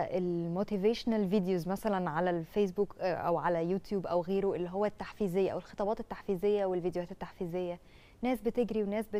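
A woman speaks at a fairly quick pace with an Egyptian accent. Her pitch is medium and her tone is dark and mellow. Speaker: TV presenter. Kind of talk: casual chat. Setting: studio. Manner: animated. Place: studio. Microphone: lapel.

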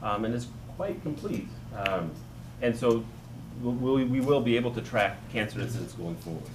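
This man's voice sits at medium pitch with ordinary pitch variation. Noticeable background noise runs underneath. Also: moderate pace. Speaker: physician; panelist. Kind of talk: panel discussion. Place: hall.

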